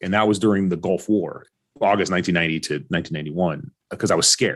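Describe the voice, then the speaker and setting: This man's pitch is very deep and low. He speaks at a very fast pace. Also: ordinary pitch variation. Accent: West Coast. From Orange County, California. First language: Arabic. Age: 40s. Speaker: podcast guest. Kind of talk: interview.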